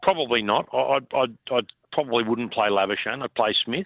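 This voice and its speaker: Moderate speed from a man, in an Australian accent. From Far North Queensland, Australia. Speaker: former cricketer. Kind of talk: casual chat.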